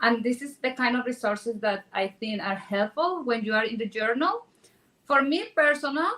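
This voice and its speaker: Lively intonation at a moderate pace, with a Spanish accent. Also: woman, high pitch for a woman. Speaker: real estate agent. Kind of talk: panel discussion.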